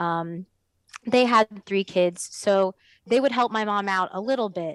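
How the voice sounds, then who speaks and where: A woman with an American accent is heard in a dry, close sound with no echo, on a very clean recording against a silent background. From Florida (Orlando area). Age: 20s. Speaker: circus performer and instructor. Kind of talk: casual interview. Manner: hesitant, many fillers.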